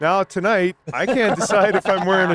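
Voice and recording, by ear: In a dry, close sound with no echo, a man with a high voice and fairly bright tone speaks at a moderate pace with ordinary pitch variation.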